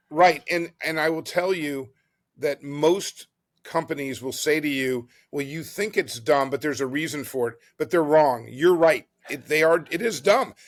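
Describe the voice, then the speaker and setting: A man with a fairly high pitch and ordinary pitch variation speaks at a moderate pace in a plain, everyday voice, on a very clean recording with a silent background. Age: 60s. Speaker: board game company founder. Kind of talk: podcast interview.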